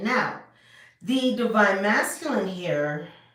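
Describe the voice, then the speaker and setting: A woman's voice with lively intonation and audible room echo. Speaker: tarot reader. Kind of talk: tarot reading to camera. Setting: home video recording. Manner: loud.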